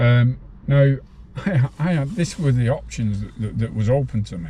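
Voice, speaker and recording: Lively intonation from a man with a northern English accent, at a medium pitch and a moderate pace. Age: 60s. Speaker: former prisoner. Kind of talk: interview.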